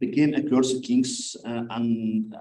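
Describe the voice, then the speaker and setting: A man talks with a non-native accent. Audible room echo surrounds his voice. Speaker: conference speaker, scholar of ancient history. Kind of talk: conference paper presentation. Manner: halting, many fillers.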